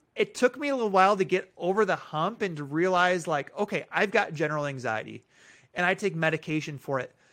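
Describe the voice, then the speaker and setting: Talking at a very fast pace, a man uses a high pitch and lively intonation with a Midwestern American accent. The recording is very clean, with a silent background. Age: 30s. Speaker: school superintendent. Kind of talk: casual interview.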